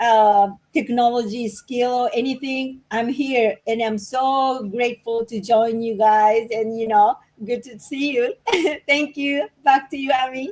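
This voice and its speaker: A woman with a Japanese accent speaks fairly slowly at a high pitch. Her intonation is fairly even, though her loudness swings widely. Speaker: office worker, business partner. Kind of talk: live stream interview.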